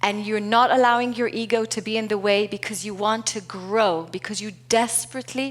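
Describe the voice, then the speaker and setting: Speaking at a moderate pace with a non-native accent, a woman uses a fairly high pitch. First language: not English. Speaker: keynote speaker, corporate culture and leadership executive. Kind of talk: conference keynote talk.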